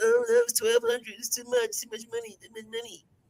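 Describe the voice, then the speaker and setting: A put-on character voice with a whiny tone, fairly high pitch and a monotone, flat delivery moves along at a fairly quick pace. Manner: whiny, complaining.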